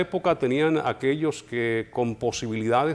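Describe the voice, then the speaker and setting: An unremarkable speaking voice belongs to this man, who shows ordinary pitch variation. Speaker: radio announcer. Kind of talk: interview answer.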